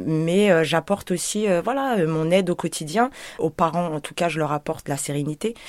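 Her pitch fairly low with ordinary variation, a woman speaks at a moderate pace. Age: 30s. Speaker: home childcare worker. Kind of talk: testimony. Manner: hesitant, many fillers.

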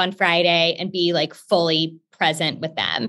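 A woman speaks at a moderate pace with medium pitch in an American accent. She has a plain, everyday voice. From Texas, Houston. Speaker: company founder. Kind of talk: interview.

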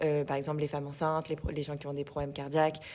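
Very fast and in a very deep, low pitch, a woman speaks with monotone, flat intonation in a very clean recording with a silent background. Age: 20s. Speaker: fitness studio co-founder. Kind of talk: casual interview.

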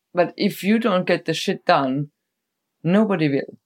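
A woman with a German accent is heard in a dry, close sound with no echo. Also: very clean recording, silent background. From Germany. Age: 40s. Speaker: festival decor maker and stage builder. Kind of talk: casual chat. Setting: sitting together on a bed at night.

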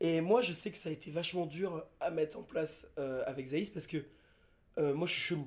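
Using a plain, everyday voice, a man speaks at a moderate pace with a fairly high pitch and ordinary pitch variation. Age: 20s. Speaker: friend invited on the podcast. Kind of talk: casual chat.

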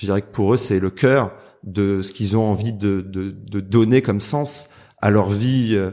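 On a very clean recording with a silent background, a man with a fairly low pitch and ordinary pitch variation speaks at a fairly slow pace. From southern France, Marseille. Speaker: lawyer. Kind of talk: interview. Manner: hesitant, many repetitions and fillers.

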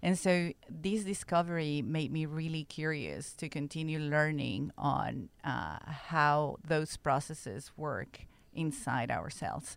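A woman speaks at a very slow pace with a very deep, low pitch. She has ordinary pitch variation and hardly any pauses. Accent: Spanish. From Mexico. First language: Spanish. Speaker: genomics researcher. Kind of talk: interview.

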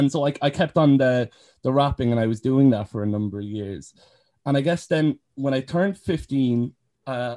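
With a Cork accent, a man speaks fairly quickly at a medium pitch and ordinary pitch variation, the sound dry and close with no echo. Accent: Cork Irish. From Ireland, County Cork. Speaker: care leaver and youth advocate. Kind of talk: casual interview. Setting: video call.

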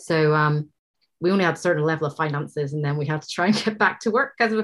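A woman speaks very fast in an Irish accent. The recording is very clean, with a silent background. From Ireland. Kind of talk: casual chat. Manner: laughs often.

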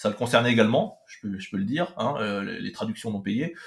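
His pitch is medium. The speaker is a man. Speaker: anime specialist and translator. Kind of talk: interview. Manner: halting, frequent hesitations.

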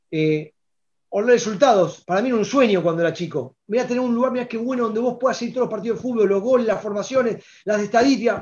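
A man speaks at a very fast pace in a high voice. His pitch moves with ordinary variation. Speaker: sports newspaper director. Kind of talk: interview. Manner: halting, frequent repetitions and fillers.

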